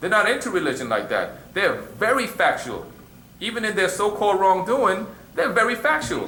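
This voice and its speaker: A man's raised, projected voice, high in pitch, with lively intonation at a moderate pace and audible room echo. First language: Arabic. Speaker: religious teacher. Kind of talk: question and answer class. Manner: conversational, repeats you know what I'm saying.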